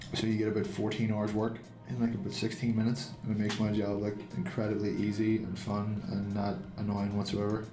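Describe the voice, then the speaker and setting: Music plays in the background as a man talks at a fairly quick pace, his fairly low pitch held in fairly even intonation. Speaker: game animator and comic artist. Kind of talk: casual drawing tutorial commentary. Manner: relaxed, rambling, joking.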